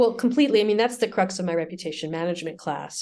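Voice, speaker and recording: A woman's very fast New York accent at medium pitch, with ordinary pitch variation and a quiet background. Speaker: business school lecturer and media producer. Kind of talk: interview. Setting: podcast. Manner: calm.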